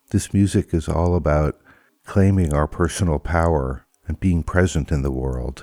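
In an American accent, a man talks at a moderate pace with a very deep, low pitch. His tone is dark and mellow, and the sound is dry and close with no echo. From United States. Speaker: radio show and podcast host. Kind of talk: interview.

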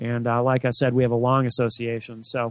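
A man with an American accent talks at a moderate pace in a medium pitch against a quiet background. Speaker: radio host. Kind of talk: live political talk radio. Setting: studio. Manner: animated, raises voice on politics.

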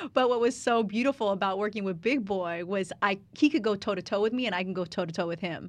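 Her pace is very fast, with hardly any pauses. The woman's medium pitch comes over a quiet background. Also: ordinary pitch variation. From Southern California, Riverside. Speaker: radio and TV personality. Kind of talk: interview conversation.

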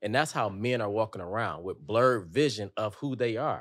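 On a very clean recording with a silent background, a man with an American accent speaks in an ordinary speaking voice at medium pitch, moderate pace and ordinary pitch variation. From Detroit, US Midwest. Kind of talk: casual chat.

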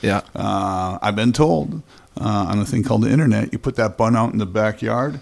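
Speaking at a moderate pace, a man has an unremarkable speaking voice with a fairly low pitch and ordinary pitch variation. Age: 50s. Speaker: guest. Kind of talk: casual chat.

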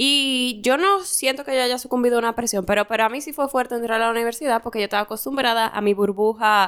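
On a very clean recording with a silent background, a woman speaks at a fairly high pitch. She talks at a very fast pace with ordinary pitch variation. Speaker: podcast co-host. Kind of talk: casual chat. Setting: studio.

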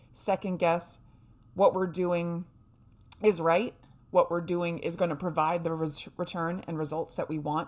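The woman's voice sits at a fairly low pitch in a very clean recording with a silent background. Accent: American. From New Hampshire, US. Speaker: podcast host and fasting coach. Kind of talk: casual solo podcast talk. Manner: animated.

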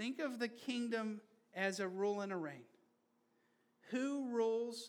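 Audible room echo surrounds a man with a high pitch and ordinary pitch variation. He speaks at a very slow pace, with long, frequent pauses. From Brazil. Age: 30s. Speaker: pastor. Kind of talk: sermon. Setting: church.

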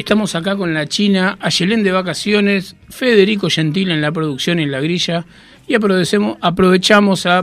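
Speaking at a moderate pace, a high-pitched man uses ordinary pitch variation. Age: 50s. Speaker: radio host. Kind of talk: casual chat. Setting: studio.

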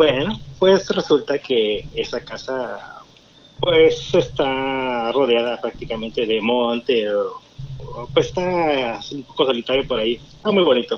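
A man's medium-pitched voice at a very slow pace, lively intonation, and noticeable background noise. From Tampico, Mexico. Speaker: caller. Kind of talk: storytelling. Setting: phone call.

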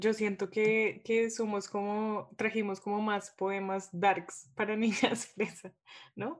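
Monotone and flat, a woman speaks at a medium pitch. Her pace is very slow. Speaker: podcast host. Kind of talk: casual literary discussion.

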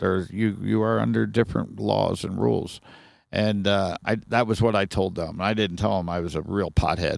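On a very clean recording with a silent background, a man with an American accent speaks at a moderate pace in a very deep, low pitch, with vocal fry and lively intonation. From Ohio, US Midwest (Sharonville near Cincinnati). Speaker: podcast guest. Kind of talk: casual chat. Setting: recorded at his trailer.

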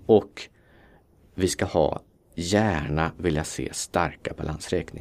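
Very slowly, a man with a very deep, low voice speaks in fairly even tones. He leaves long, frequent pauses. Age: 40s. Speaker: fund manager. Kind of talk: interview.

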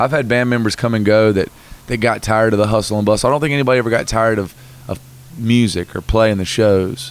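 In a Southern US accent, a man talks at a very fast pace with a medium pitch and fairly even intonation. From North Carolina. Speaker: musician. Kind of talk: interview. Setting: in person in Texas.

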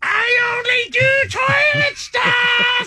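Shouting in an extremely high pitch, a put-on character voice stays monotone with flat intonation. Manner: creepy, comedic.

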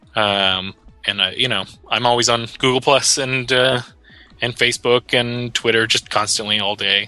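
Over music in the background, a man talks at a moderate pace in a medium pitch, his intonation fairly even and his loudness very even. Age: 30s. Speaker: tabletop game writer. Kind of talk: interview.

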